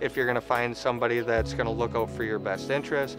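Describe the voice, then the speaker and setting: Over clear music in the background, a man speaks at a fairly quick pace with a dry sound and no echo. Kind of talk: interview answer. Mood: earnest, grateful. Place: street.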